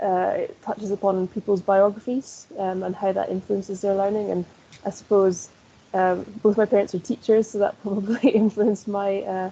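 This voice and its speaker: A woman speaks with a Scottish accent. Her pitch is medium and her pace moderate. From northeast Scotland. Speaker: sports coaching lecturer. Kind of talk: interview.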